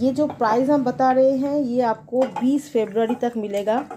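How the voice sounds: The tone is dark and mellow with a slightly husky edge. Intonation is lively. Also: woman.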